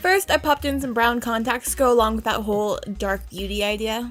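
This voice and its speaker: Music plays behind a woman as she talks fairly quickly. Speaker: makeup artist. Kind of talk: tutorial. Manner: casual.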